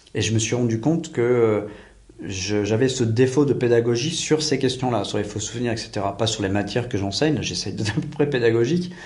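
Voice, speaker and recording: Fairly quick speech from a man at a medium pitch, ordinary pitch variation, and audible room echo. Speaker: private investigator and teacher. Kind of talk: interview. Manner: fast; assertive.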